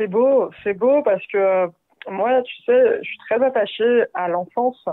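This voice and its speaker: A woman is speaking here. Her pace is fairly slow. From France, Paris suburbs (Val-de-Marne). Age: 20s. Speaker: podcast guest sharing life story. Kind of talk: testimony. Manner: casual, hesitant with many fillers.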